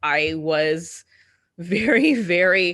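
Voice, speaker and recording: Against a quiet background, a woman speaks loudly in a bright, sharp tone with ordinary pitch variation. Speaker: podcast host. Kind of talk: casual chat.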